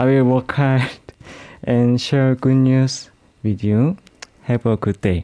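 In a dry, close sound with no echo, a man with a Korean accent speaks very slowly at a medium pitch, his tone nervous yet dark and mellow. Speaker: singer-songwriter. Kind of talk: radio interview. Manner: nervous, soft-spoken.

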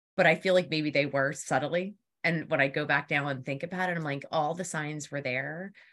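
At a moderate pace, a woman with a Philadelphia accent speaks in a very deep, low voice with fairly even intonation. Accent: Philadelphia area. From Philadelphia area, US East Coast. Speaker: PR consultant. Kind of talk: casual interview chat.

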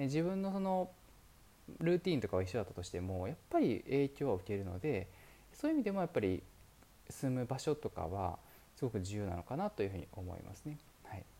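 Somewhat breathy and dark, mellow in tone, a man speaks at a fairly quick pace and medium pitch with very wide pitch swings. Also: very clean recording, silent background. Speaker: podcast host, entrepreneur. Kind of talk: solo monologue podcast. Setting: currently in Dubai. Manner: polite, many fillers.

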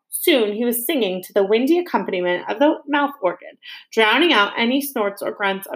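The clip has a natural reading voice with lively intonation.

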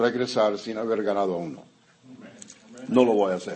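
Room echo is audible on the man's voice. Background noise can be clearly heard as well. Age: 70s. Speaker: pastor. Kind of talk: sermon.

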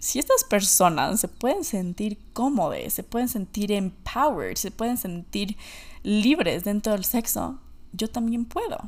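A woman's lively intonation at a fairly slow pace, in a very clean recording with a silent background. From Ecuador. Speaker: podcast host. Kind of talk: solo monologue podcast.

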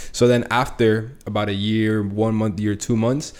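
A fairly low male voice, an unremarkable speaking voice, delivered at a moderate pace. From US, Latin family. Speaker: forex trader and podcast host. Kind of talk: casual chat.

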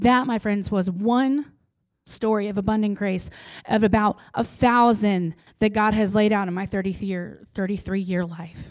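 In a very clean recording with a silent background, a woman with an American accent uses a normal speaking voice at medium pitch, fairly even intonation, and a fairly slow pace. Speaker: preacher. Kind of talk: sermon.

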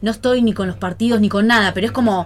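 Talking at a very fast pace, a woman with vocal fry keeps a medium pitch and ordinary pitch variation. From Pergamino, Buenos Aires province, Argentina. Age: 40s. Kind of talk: casual chat.

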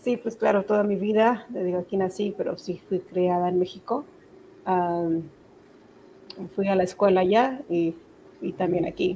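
A woman's somewhat breathy voice of medium pitch, dark and mellow in tone, at a fairly slow pace. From Mexico (Zacatecas), born in Texas. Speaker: entrepreneur, business owner. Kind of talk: interview.

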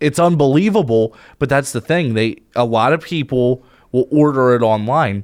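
A man with an American accent and a medium pitch talks in a plain, everyday voice at a moderate pace, with ordinary pitch variation, very even loudness, and a dry, close sound with no echo. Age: 20s. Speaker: podcast co-host and DJ. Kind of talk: casual chat. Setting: studio.

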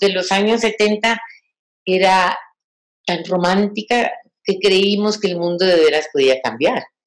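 A woman talks very slowly, her medium-pitched voice showing ordinary pitch variation. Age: 60s. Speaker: feminist activist and lecturer. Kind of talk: lecture.

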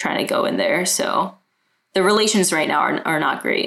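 A woman with an American accent speaks at a moderate pace and a medium pitch. Hers is an unremarkable speaking voice with ordinary pitch variation. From Brooklyn, New York. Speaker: multidisciplinary artist. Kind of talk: casual interview.

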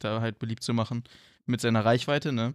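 On a very clean recording with a silent background, a man speaks at a moderate pace with a medium pitch and monotone, flat intonation. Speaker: podcast co-host. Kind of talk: casual chat.

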